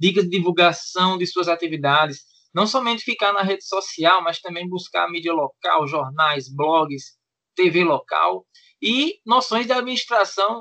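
A man with a high voice speaks at a fairly slow pace in a bright, sharp tone, his pitch moving in an ordinary way against a quiet background. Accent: Pernambuco. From Pernambuco sertão, Petrolina. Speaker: podcast co-host, DeMolay senior member. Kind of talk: casual chat.

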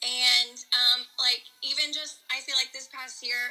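Her voice is high-pitched and the pace fairly slow. The woman is heard over noticeable background noise. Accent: Californian. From San Diego, California. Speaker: founder of a marriage ministry project. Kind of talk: casual interview chat.

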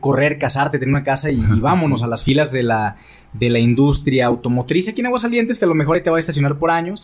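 The man talks at a fairly quick pace with a fairly high pitch. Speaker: radio host and content creator. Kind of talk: casual chat. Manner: trained broadcaster modulation.

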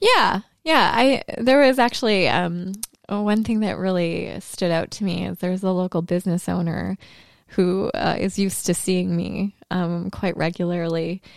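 A woman speaks at a medium pitch in a normal speaking voice. Her pace is fairly slow, and her pitch varies in an ordinary way. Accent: Canadian. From Canada, Thunder Bay, Ontario. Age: 30s. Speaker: former TV video journalist. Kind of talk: casual chat. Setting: live show.

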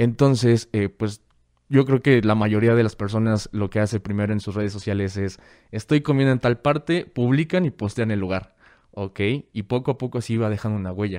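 A man with a normal speaking voice talks fairly quickly at a fairly low pitch, showing ordinary pitch variation against a quiet background. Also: dry, close sound with no echo. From Mexico, Guadalajara. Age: 20s. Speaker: hacker and security course instructor. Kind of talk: casual interview chat.

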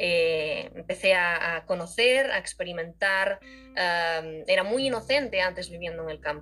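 Here a woman talks at a fairly slow pace in a bright, sharp tone. Her pitch varies in an ordinary way. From Spain, Galicia (rural). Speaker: podcast guest sharing her emigrant story. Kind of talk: casual interview chat.

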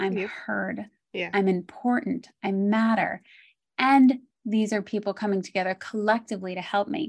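Speaking in a calm tone at a moderate pace, a woman uses a medium pitch and ordinary pitch variation against a quiet background. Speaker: speech therapist. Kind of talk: interview.

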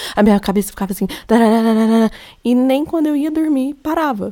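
In a Minas Gerais accent, a woman with a dark, mellow tone talks at a fairly quick pace with ordinary pitch variation, recorded very cleanly over a silent background. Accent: Minas Gerais Brazilian Portuguese. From Minas Gerais, Brazil. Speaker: podcaster. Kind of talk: personal monologue. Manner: casual, conversational.

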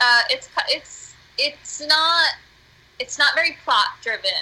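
A woman's raised, projected voice with an American accent and very wide pitch swings. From US, northeastern Pennsylvania. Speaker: musician and theater artist. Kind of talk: casual chat. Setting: Skype call. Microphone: poor sound quality.

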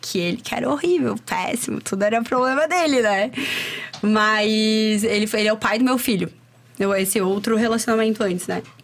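A woman with a fairly high pitch talks at a moderate pace with ordinary pitch variation, in a plain, everyday voice. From Chapecó, Santa Catarina, southern Brazil. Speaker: entrepreneur and women's personal development coach. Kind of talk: casual interview chat. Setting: studio.

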